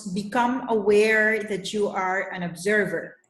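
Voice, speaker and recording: In a Spanish accent, a woman talks at a very slow pace with a medium pitch and monotone, flat intonation, with audible room echo. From Colombia. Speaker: leadership coach. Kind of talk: presentation. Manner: hesitant, many fillers.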